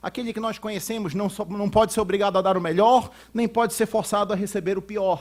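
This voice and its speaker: A man with a high-pitched voice. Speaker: lawyer and law professor, conference speaker. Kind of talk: conference lecture. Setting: auditorium with audience. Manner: fast; halting, many repetitions and fillers.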